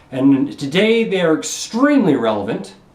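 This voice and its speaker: A man with a Canadian accent and a high pitch at a moderate pace, with audible room echo and noticeable background noise. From Canada. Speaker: vlogger giving speeches. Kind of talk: monologue speech to camera. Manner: repetitive, halting; slurring.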